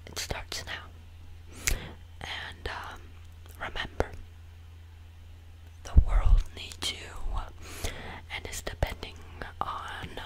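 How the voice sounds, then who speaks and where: A soft-spoken man whispering at a very slow pace, with long, frequent pauses, over loud background noise. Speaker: video creator. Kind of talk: playful direct-to-camera monologue. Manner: soft close-mic whisper. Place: home room. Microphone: studio mic.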